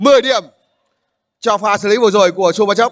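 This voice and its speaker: An animated man's voice, high in pitch. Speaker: football commentator. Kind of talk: live football commentary. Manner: animated, rising in emotion at goals and near misses.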